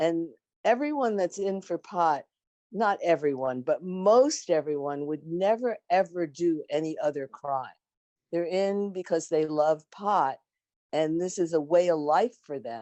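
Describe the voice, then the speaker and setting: A woman with a fairly low pitch and a dark, mellow tone speaks at a fairly slow pace with lively intonation against a quiet background. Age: 70s. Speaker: former prisoner and prisoner support activist. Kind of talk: panel discussion.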